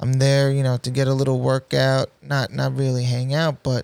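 This man has a New York accent and a medium pitch, speaking at a moderate pace. The sound is dry and close with no echo. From Queens, New York City. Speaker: basketball referee and DJ. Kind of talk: casual interview.

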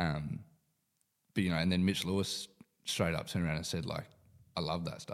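Pausing long and often, a man with an Australian accent speaks at a very deep, low pitch. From Perth, Western Australia. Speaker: professional footballer. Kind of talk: casual chat.

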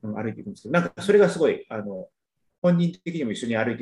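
Somewhat breathy, a man talks very fast, his pitch swinging very widely. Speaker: podcast panelist. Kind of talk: casual chat. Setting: video call.

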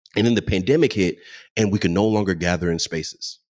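On a very clean recording with a silent background, a man with an American accent talks at a fairly quick pace in a very deep, low pitch with ordinary pitch variation. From Texas, Dallas. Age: 20s. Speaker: DJ and entrepreneur. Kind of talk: interview.

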